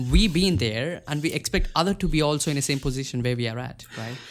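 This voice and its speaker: With an Indian accent, a man talks very fast in a fairly high voice. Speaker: podcast host. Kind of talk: casual interview. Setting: video call.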